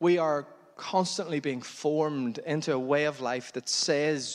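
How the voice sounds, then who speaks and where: Fairly high-pitched male speech in a Northern Irish accent with ordinary pitch variation. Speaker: pastor. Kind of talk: sermon.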